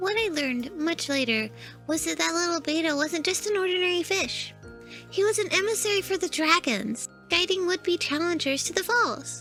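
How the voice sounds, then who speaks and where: A put-on character voice at an extremely high pitch, with clear music in the background. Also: moderate pace. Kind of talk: character lore story narration. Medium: read story.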